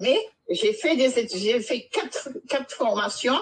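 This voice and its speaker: This woman has a high pitch. Her voice makes very wide pitch swings. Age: 60s. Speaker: caller giving testimony. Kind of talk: testimony.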